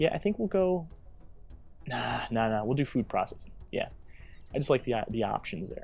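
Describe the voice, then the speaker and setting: Vocal fry marks this man's speech, which swings very widely in pitch and is broken by long, frequent pauses. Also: medium pitch for a man, moderate pace. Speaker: gaming video creator. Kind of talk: let's play commentary. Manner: stuttering, halting; casual, filler-heavy.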